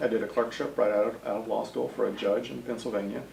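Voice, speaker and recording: A man with a slight Texas accent speaks at a fairly low pitch, with audible room echo and noticeable background noise. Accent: slight Texas twang. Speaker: state senator. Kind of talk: interview.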